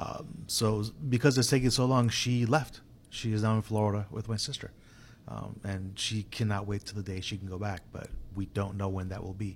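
This man talks at a moderate pace in a fairly low, somewhat breathy voice with fairly even intonation. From Puerto Rico. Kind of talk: casual chat.

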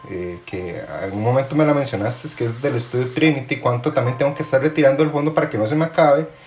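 Man's voice with ordinary pitch variation over background music. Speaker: podcast host, finance brand co-founder. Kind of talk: casual interview. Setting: remote call.

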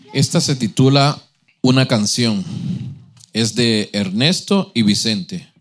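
Very slow delivery with long, frequent pauses, lively intonation and very even loudness. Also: man, medium pitch for a man. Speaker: church member reading poems. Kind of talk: reading aloud.

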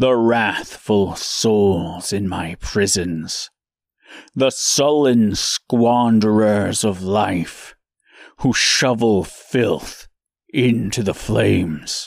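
At a very slow pace, a man speaks with a fairly low pitch and ordinary pitch variation. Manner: slow, grave, menacing.

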